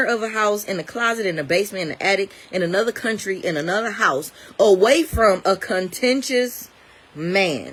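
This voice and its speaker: A woman talks at a moderate pace, her intonation lively. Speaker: bible teacher. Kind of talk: sermon-style bible talk. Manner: loud.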